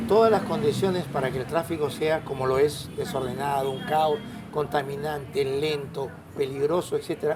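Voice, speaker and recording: With music in the background and audible room echo, a man talks at a moderate pace in a fairly high pitch with lively intonation. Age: 70s. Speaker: road safety advocate. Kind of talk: interview.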